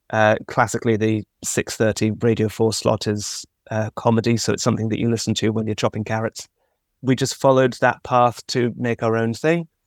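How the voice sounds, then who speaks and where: A man speaks at medium pitch and a fairly quick pace, with fairly even intonation. The recording is very clean with a silent background, and the sound is dry and close with no echo. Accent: southern English. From London, England. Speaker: actor and podcaster. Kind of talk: interview.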